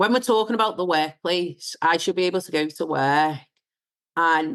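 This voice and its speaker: Speaking with a slight Scouse accent, a woman uses a fairly low pitch, ordinary pitch variation, big swings in loudness and a moderate pace. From northern England, Wirral. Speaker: diversity and inclusion founder. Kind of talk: casual chat.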